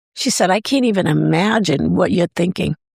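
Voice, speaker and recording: A woman talks fairly quickly with vocal fry, in a dry, close sound with no echo. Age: 60s. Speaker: food truck owner. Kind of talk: podcast interview. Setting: studio. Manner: casual, hesitant with repeated words.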